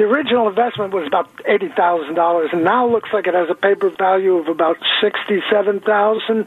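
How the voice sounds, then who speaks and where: Over music in the background, a man speaks very fast with hardly any pauses, at a high pitch with ordinary variation and very even loudness. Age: 70s. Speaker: caller. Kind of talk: radio call-in question. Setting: phone call.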